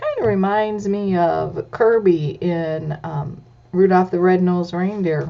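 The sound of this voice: Ordinary pitch variation throughout an unforced reading voice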